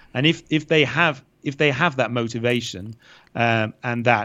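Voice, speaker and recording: Against a quiet background, a man with a British accent speaks at a medium pitch. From UK. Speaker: English teacher and online creator. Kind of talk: interview. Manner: hesitant, many fillers and repetitions.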